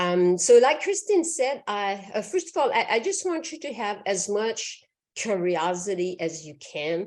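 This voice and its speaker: A woman's medium-pitched voice at a fairly slow pace, with very wide pitch swings and big swings in loudness. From Quebec, Canada. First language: French. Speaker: physician. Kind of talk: lecture.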